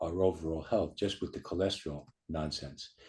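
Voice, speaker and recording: Over a quiet background, a man talks at a fairly quick pace in a somewhat breathy voice. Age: 70s. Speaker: chiropractor. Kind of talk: interview. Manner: halting.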